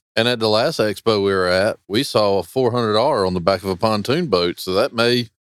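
In a normal speaking voice, a man talks at a moderate pace with fairly low pitch, ordinary pitch variation and hardly any pauses, the sound dry and close with no echo. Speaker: fisheries biologist and podcast host. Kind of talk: casual interview. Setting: backstage at a fishing tournament event.

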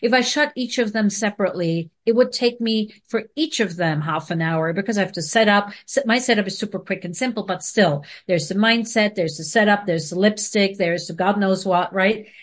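A somewhat breathy woman's voice with hardly any pauses and ordinary pitch variation. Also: medium pitch for a woman, fairly quick pace, quiet background. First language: not English. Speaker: video marketing expert. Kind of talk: casual interview chat. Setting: video call.

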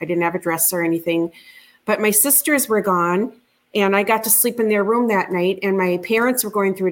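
A woman speaks at a medium pitch with a Minnesotan accent. Her intonation stays fairly even. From rural Minnesota. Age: 50s. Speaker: UFO witness. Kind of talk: interview testimony.

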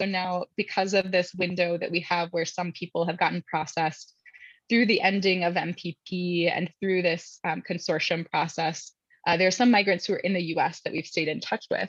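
A woman with an American accent sounds somewhat breathy. She speaks at a moderate pace in a dry, close sound with no echo. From US Midwest, Indianapolis. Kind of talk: interview.

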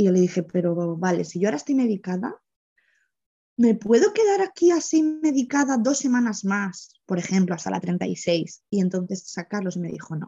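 Here is a woman with lively intonation. Her voice is somewhat breathy. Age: 30s. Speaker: single mother telling her birth story. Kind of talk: personal testimony in an interview.

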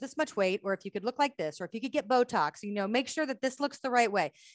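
Against a quiet background with a dry, close sound and no echo, a woman with an American accent talks at a very fast pace in a high pitch with very wide pitch swings. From United States. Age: 40s. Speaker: bodywork therapist and author. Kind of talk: interview.

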